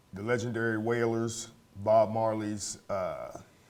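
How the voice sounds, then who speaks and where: Speaking at a moderate pace with an American accent, a man's medium-pitched voice carries audible room echo. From US South, North Carolina. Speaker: bass player. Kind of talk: interview. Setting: studio.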